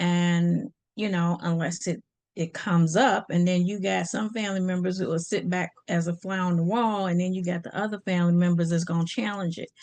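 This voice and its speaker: Speaking at a fairly quick pace, a woman with a fairly low pitch keeps her intonation fairly even over a quiet background. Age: 60s. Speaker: podcast host and life coach. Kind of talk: casual monologue. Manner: conversational, many fillers.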